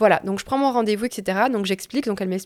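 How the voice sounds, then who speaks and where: A plain, everyday voice from a woman, fairly high in pitch with lively intonation, dry and close with no echo. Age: 20s. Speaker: nurse and mother sharing postpartum story. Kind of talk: testimony.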